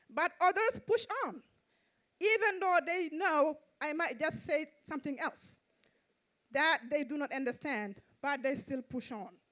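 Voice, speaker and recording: Speaking with a non-native accent, a woman uses a high pitch and lively intonation, broken by long, frequent pauses. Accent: foreign accent, often asked to repeat. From Mauritania / Senegal. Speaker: social worker and interpreter, poet. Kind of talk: poetry reading.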